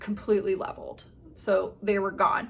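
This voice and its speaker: A woman's fairly high voice keeps a moderate pace. Her intonation stays fairly even. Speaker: knitting podcaster. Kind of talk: casual chat. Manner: loud; chatty, rambling pace.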